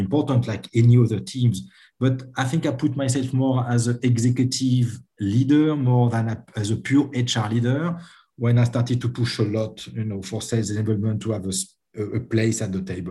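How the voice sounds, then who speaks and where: A man with a French accent speaks at a moderate pace with hardly any pauses, in a medium pitch with ordinary pitch variation. His tone is dark and mellow, and somewhat breathy. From France. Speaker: HR and sales enablement executive. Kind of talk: interview.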